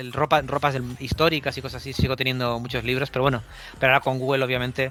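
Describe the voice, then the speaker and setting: This man's voice sits at a fairly high pitch. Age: 40s. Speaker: comic book artist. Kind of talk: casual interview chat. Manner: halting, many repetitions and restarts.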